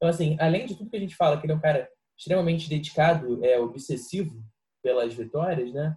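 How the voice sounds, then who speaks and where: Very fast speech from a man with a fairly high pitch and a dark, mellow tone. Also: ordinary pitch variation. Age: 20s. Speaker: football podcast co-host. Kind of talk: casual chat.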